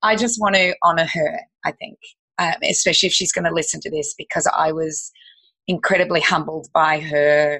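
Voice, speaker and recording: Speaking with an Australian accent, a woman has a fairly low pitch. She keeps a moderate pace with ordinary pitch variation. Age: 50s. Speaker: health educator and business owner. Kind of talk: podcast interview.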